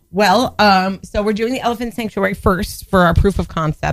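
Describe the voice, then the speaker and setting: Over music in the background, a bubbly, excited tone comes through at a fairly quick pace with ordinary pitch variation. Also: woman. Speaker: guest, performer. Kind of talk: casual banter, adult comedy chat. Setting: radio studio.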